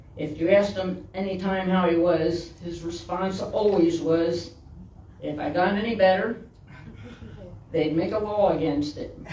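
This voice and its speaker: Fairly slow speech broken by long, frequent pauses, over noticeable background noise. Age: 60s. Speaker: minister. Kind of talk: sermon.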